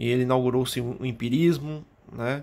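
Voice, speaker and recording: A man talks at a medium pitch. His intonation stays monotone and flat. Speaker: history teacher. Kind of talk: lecture.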